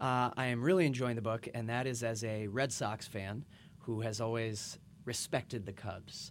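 A man of medium pitch with an unremarkable speaking voice, moderate pace, and fairly even intonation. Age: 30s. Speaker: podcast host. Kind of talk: scripted narration; interview.

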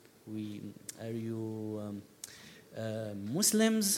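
In an Arabic accent, a man speaks with very wide pitch swings. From Syria. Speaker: documentary filmmaker. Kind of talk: panel discussion. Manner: halting.

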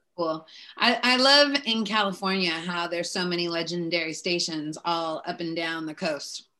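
A woman with an American accent speaks in a bright, sharp tone. Her pitch variation is ordinary. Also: fairly low pitch for a woman, moderate pace. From Seattle, US Pacific Northwest. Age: 40s. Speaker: podcast host. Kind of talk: casual interview.

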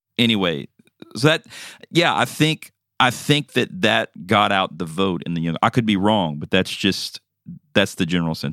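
A man's fairly low voice with very wide pitch swings, in a dry, close sound with no echo. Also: moderate pace. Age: 40s. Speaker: podcast co-host. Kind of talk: casual chat.

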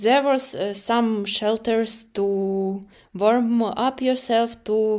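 A woman with a dark, mellow tone and a fairly high pitch speaks at a very slow pace. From Ukraine. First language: Ukrainian or Russian. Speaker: war refugee. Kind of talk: personal testimony interview. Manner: halting, with frequent fillers.

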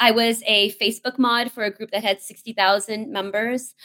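The sound is dry and close with no echo as a woman speaks at a fairly high pitch. Her tone is animated, with ordinary pitch variation. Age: 40s. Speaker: community-building tech executive. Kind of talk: interview conversation.

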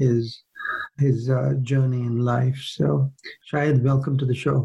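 Here is a man with a normal speaking voice. His pitch varies in an ordinary way. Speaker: podcast interviewer. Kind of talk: interview conversation.

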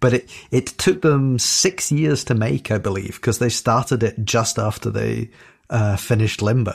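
With vocal fry, a man speaks on a very clean recording with a silent background. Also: medium pitch for a man, moderate pace. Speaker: podcast panelist. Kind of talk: casual chat.

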